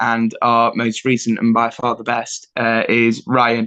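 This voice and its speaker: With an East Midlands accent, a man speaks in a bright, sharp tone. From England, Nottingham. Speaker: rock band rhythm guitarist. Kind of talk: casual interview chat. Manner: hesitant, many fillers.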